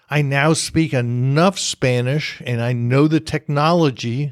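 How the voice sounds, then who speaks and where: Recorded dry and close with no echo, a man with an American accent has an unremarkable speaking voice and ordinary pitch variation. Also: very clean recording, silent background. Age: 60s. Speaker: podcast host. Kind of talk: casual monologue.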